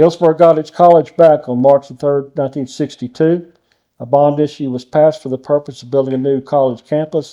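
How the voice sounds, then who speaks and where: With a Texan accent, a fairly high-pitched man speaks at a fairly quick pace in a flat monotone with a dark, mellow tone. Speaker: judge, interviewer. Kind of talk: reading historical notes aloud.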